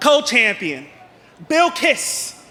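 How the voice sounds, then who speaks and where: Noticeable background noise sits behind a man's raised, projected voice. He speaks at a very slow pace. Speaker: professional wrestler. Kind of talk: wrestling promo. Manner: brash, boastful.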